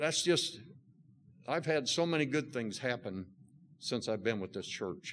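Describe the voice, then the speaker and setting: A man at medium pitch and a fairly slow pace, with lively intonation. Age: 60s. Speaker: church member. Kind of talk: testimony. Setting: church. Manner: halting.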